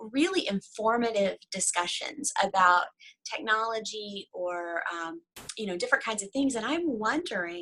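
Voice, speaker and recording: With a Southern US accent, a woman talks at a fairly slow pace in a fairly high pitch, her bright, sharp tone rising and falling in very wide pitch swings. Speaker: devotional author and writing coach. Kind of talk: casual interview chat.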